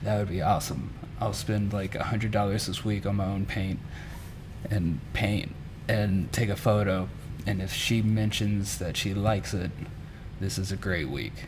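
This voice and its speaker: With an American accent and fairly even intonation, the speaker keeps a moderate pace with long, frequent pauses, amid audible room echo and noticeable background noise. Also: man, fairly low pitch for a man. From Mississippi. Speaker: muralist. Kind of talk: interview.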